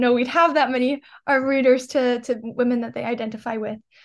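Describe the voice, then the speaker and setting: A woman speaks with a New York accent at a high pitch. Her intonation stays flat and monotone. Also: quiet background. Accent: New York American. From New York, Long Island. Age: young. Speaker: student and nonprofit founder. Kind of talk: interview.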